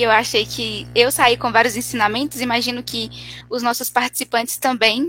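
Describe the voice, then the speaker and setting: A woman speaks at a moderate pace with a fairly high pitch and a bright, sharp tone. Her intonation stays fairly even, with some vocal fry. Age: 20s. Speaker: event moderator. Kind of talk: live Q&A moderation. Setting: online live event, at home.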